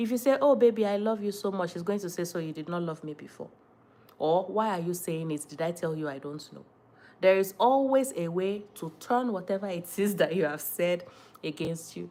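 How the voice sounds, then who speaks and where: A woman with a Nigerian accent speaks at a moderate pace in a fairly low, dark and mellow voice, with lively intonation and big swings in loudness. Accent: Nigerian (Yoruba) English. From Nigeria, Ondo State (Yoruba). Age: 30s. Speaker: lifestyle content creator. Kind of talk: casual live-stream chat. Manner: animated.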